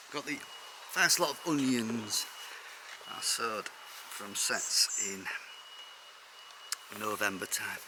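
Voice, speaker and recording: A man with a medium-pitched voice talks at a very slow pace with lively intonation, long, frequent pauses and big swings in loudness, over noticeable background noise. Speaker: allotment gardener, video creator. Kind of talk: casual vlog tour. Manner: mumbling at times.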